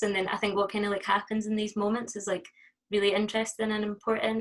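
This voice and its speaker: With a Scottish accent, a woman rattles along at a very fast pace in a medium pitch, her intonation monotone and flat. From Scotland. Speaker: performance artist. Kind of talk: interview. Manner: hesitant, many fillers.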